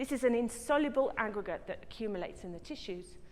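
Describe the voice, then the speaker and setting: The pace here is fairly quick. A southern English accent comes through. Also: woman. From England, Brighton. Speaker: professor, scientist. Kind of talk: lecture. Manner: fast.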